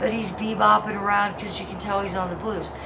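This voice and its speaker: A woman talks at a medium pitch. Noticeable background noise and audible room echo are present. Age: 50s. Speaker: homeless military veteran. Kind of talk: street interview. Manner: animated.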